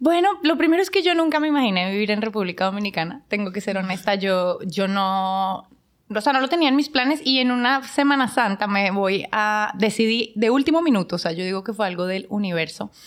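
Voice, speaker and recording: A woman talks at a fairly quick pace with hardly any pauses, her pitch fairly high. It is a plain, everyday voice. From Colombia, Bogotá. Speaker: business owner. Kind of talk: casual chat.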